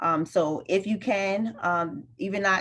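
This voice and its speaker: This woman's voice shows ordinary pitch variation. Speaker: college student success advisor. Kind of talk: online workshop presentation. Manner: fast.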